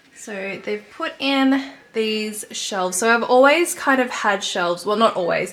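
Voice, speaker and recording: Over noticeable background noise, a woman with a fairly high pitch talks at a fairly slow pace with lively intonation and hardly any pauses. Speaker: lifestyle vlogger. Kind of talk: casual vlog talking to camera.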